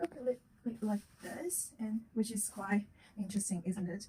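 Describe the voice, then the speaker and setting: Somewhat breathy female voice, fairly high in pitch with ordinary pitch variation, at a fairly quick pace. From China. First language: Chinese. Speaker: psychic intern and video blogger. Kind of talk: casual vlog introduction. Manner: halting, many fillers.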